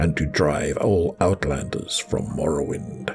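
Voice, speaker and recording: A man's put-on character voice, gravelly and very deep in pitch, at a moderate pace. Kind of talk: reading dry notes aloud.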